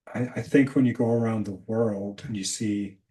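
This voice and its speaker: The speaker is a man with an American accent. He talks at a moderate pace with fairly even intonation. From Scotland. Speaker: leadership coach. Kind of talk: casual chat.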